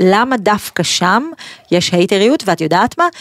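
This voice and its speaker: A plain, everyday voice from a woman at a moderate pace, with ordinary pitch variation and a dry, close sound with no echo. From Israel, Pardes Hanna. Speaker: podcast host. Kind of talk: interview. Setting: studio.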